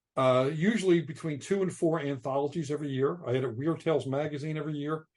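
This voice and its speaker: At a very fast pace, a man speaks with fairly even intonation and a fairly high pitch. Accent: American. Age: 60s. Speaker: novelist. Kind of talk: casual chat. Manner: halting.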